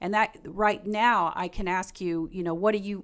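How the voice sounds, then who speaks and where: With a Southern US accent, a woman talks at a fairly quick pace and medium pitch in a very clean recording with a silent background. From Kentucky, US South. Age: 60s. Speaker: pastor. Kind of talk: live stream discussion. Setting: live stream with video guests.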